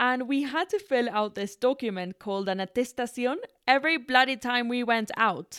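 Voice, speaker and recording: In a Spanish accent, a woman speaks at a moderate pace in a high pitch with ordinary variation, in a dry, close sound with no echo and a very clean recording with a silent background. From Ecuador. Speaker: podcast host and comedy content creator. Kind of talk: casual solo podcast monologue. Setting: home recording, solo. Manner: animated, chatty.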